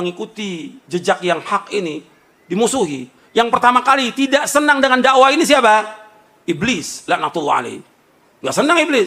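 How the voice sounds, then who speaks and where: Pitched high for a man, his raised, projected voice has an animated tone, very wide pitch swings and a moderate pace. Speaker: Islamic preacher. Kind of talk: sermon. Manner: loud; animated, rhetorical questions.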